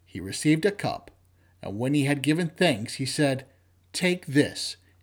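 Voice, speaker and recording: Recorded very cleanly over a silent background, a man with a plain, everyday voice speaks at a moderate pace, fairly high in pitch with ordinary pitch variation. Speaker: lector leading vespers. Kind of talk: liturgical scripture reading at vespers. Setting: church. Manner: formal, measured, reverent.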